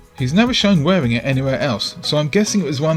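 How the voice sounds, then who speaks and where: Backed by music, a man talks at a very fast pace. His fairly high voice swings very widely in pitch. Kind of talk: film analysis commentary.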